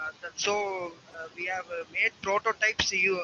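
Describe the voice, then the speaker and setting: The speech is flat and monotone, with noticeable background noise. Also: man. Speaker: student presenting robotics project. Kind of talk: project presentation. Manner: halting, many fillers; quiet. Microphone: far from the mic, too quiet.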